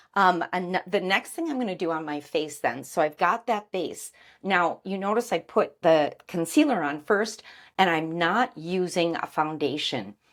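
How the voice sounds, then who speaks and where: In a very clean recording with a silent background, a woman with a plain, everyday voice speaks at a fairly slow pace, her fairly low pitch carried by lively intonation. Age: 60s. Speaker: beauty vlogger. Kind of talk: tutorial. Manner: casual.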